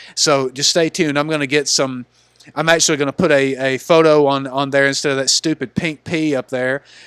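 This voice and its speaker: A man with a Southern US accent talks at a fairly quick pace in a fairly high pitch. His intonation is monotone and flat, and the sound is dry and close with no echo. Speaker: gaming YouTuber. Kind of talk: casual video commentary. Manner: halting, many repeated words.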